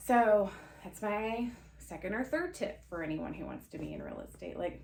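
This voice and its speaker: A woman speaks in a bubbly tone with big swings in loudness. Room echo is audible. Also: moderate pace. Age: 30s. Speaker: podcast host, real estate agent. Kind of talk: casual monologue podcast. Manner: loud, bubbly; rambling, conversational with fillers.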